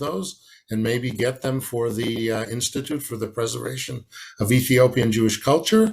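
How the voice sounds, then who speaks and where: Somewhat breathy, a man with an Israeli accent speaks at a moderate pace and medium pitch with fairly even intonation. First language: Hebrew. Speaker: academic historian. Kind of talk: conference lecture. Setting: online conference from home. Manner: halting, many fillers.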